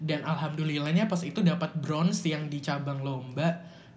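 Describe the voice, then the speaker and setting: Audible room echo surrounds a man speaking at a fairly slow pace with fairly even intonation. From Samarinda, East Kalimantan, Indonesia. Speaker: university student and public speaker. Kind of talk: casual chat.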